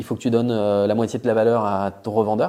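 Recorded very cleanly against a silent background, a man speaks at a fairly low pitch in a dark, mellow tone with monotone, flat intonation. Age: 30s. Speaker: entrepreneur, clothing brand founder. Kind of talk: casual interview. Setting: in person at the company's premises.

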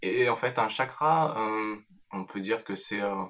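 The man's voice has a bright, sharp tone, and he talks fairly slowly. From France. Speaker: meditation teacher. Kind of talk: interview. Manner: halting.

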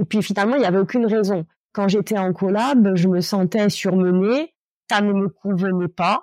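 The woman's pitch is medium. She holds a moderate pace at a very even loudness. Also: ordinary pitch variation, dry, close sound with no echo. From Corsica, Ajaccio. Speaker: lawyer and coach. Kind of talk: interview. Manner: hesitant, many fillers.

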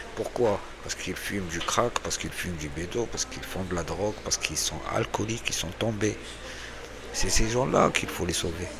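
Noticeable background noise sits behind a man's voice. His pitch is very deep and low, with ordinary variation. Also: fairly quick pace. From Algeria. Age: 40s. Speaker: homeless man. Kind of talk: interview.

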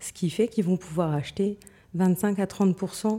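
A woman with a medium pitch and a dark, mellow tone speaks at a very slow pace with fairly even intonation. The recording is very clean, with a silent background. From Moselle-Est, France. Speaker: real estate company director. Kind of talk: interview.

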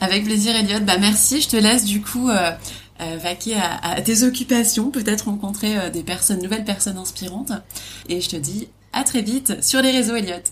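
At a moderate pace, a woman with an ordinary speaking voice talks at a fairly high pitch with ordinary pitch variation. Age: 30s. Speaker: podcast host, travel trainer. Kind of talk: casual interview.

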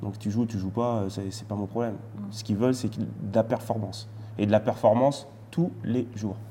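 A man speaks at a moderate pace in a fairly low, somewhat breathy voice with a dark, mellow tone and fairly even intonation. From France. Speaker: retired footballer and TV pundit. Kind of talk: casual interview.

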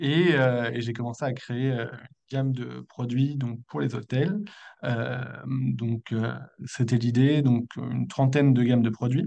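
The man speaks at a very slow pace in a dark, mellow tone. His pitch is medium with ordinary variation. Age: 30s. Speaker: eco-friendly products entrepreneur. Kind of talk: interview. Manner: hesitant, many fillers.

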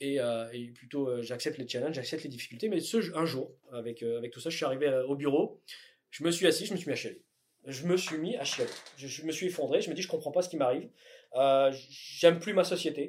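This man speaks at a fairly quick pace and a fairly high pitch, with ordinary pitch variation and big swings in loudness. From southern France (Tarn), raised in northern France. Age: 30s. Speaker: electronics company founder. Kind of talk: interview. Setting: company offices. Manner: hesitant, many fillers.

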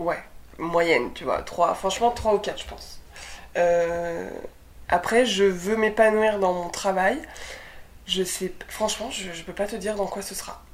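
The delivery is very slow, with long, frequent pauses, big swings in loudness and ordinary pitch variation. Audible room echo surrounds the voice. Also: woman, medium pitch for a woman. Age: 20s. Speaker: young mother and documentary producer. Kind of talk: casual interview chat.

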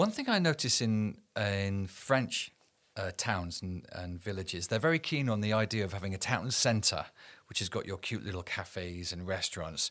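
Recorded very cleanly against a silent background, a man with a fairly low pitch speaks in a normal speaking voice at a moderate pace, with ordinary pitch variation. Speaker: podcast host. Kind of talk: interview.

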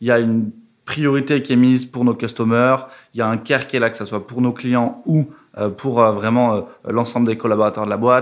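At a fairly quick pace, a man speaks in a monotone, flat way. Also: medium pitch for a man. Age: 20s. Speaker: revenue operations manager at a fintech. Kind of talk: casual interview. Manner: hesitant, many fillers.

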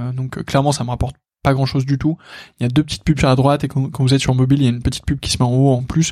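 Speaking at a very fast pace, a man uses a monotone, flat delivery in a medium pitch with a dark, mellow tone. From northern France. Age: 20s. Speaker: podcast host. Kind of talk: solo podcast monologue. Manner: hesitant, many fillers.

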